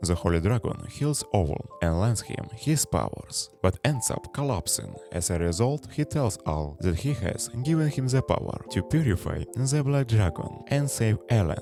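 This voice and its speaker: Speaking in a non-native accent at a fairly slow pace, the voice swings very widely in pitch, with hardly any pauses and music in the background. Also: man, fairly low pitch for a man. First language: not English. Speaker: anime recap narrator. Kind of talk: scripted narration.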